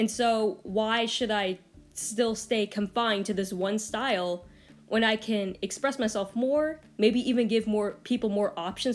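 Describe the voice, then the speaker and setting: Music plays behind a woman with a fairly high pitch. She speaks at a fairly slow pace with ordinary pitch variation. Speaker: artist and video creator. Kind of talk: casual vlog advice talk. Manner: stuttering and hesitant with fillers.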